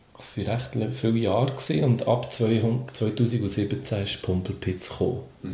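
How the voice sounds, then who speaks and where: Audible room echo surrounds a man's fairly low voice with ordinary pitch variation. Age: 40s. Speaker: comedian and children's entertainer. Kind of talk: casual interview.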